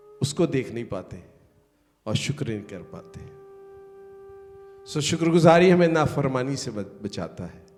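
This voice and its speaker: A man with a fairly high voice makes very wide pitch swings and big swings in loudness, leaving long, frequent pauses. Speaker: pastor and schoolteacher. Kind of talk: sermon.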